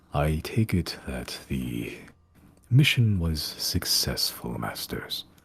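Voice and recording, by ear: A man puts on a character voice, very deep and low in pitch with a rumbling quality. He speaks at a very slow pace with very wide pitch swings.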